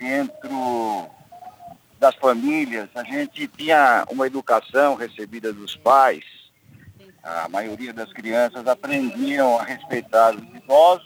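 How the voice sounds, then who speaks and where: A man's very slow speech at medium pitch, with ordinary pitch variation and a dry, close sound without echo. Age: 60s. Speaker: engineer. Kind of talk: live radio interview. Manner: halting.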